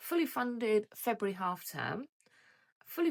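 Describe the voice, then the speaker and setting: A woman with an English accent and a high pitch is heard in a very clean recording against a silent background. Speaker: budgeting vlogger. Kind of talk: casual vlog chat. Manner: hesitant, many fillers.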